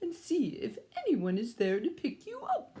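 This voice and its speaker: In a put-on character voice, a female-sounding speaker goes squeaky and extremely high, with very wide pitch swings, at a moderate pace. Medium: read story.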